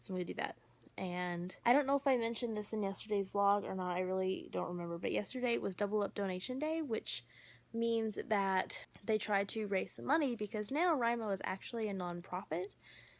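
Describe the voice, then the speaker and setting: Her pitch is medium and her intonation lively as the woman talks at a fairly quick pace. The recording is very clean, with a silent background. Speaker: book vlogger. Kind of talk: casual vlog. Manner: fast.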